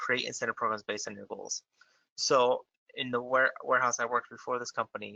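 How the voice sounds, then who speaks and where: The man's speech comes at a very fast pace. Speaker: software presenter. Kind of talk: webinar presentation.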